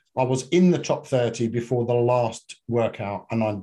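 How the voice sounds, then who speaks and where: A man with a British accent talks in a somewhat breathy voice. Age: 50s. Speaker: fitness and functional medicine coach. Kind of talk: casual chat.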